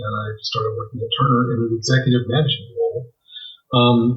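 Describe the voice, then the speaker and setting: A somewhat breathy man's voice at a fairly quick pace. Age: 60s. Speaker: visual effects supervisor. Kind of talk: interview. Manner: halting, many fillers.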